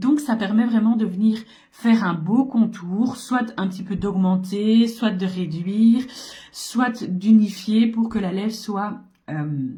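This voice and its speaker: Speaking very slowly with ordinary pitch variation, a woman is heard amid audible room echo. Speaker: makeup seller and beauty vlogger. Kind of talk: makeup tutorial. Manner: casual, hesitant with fillers.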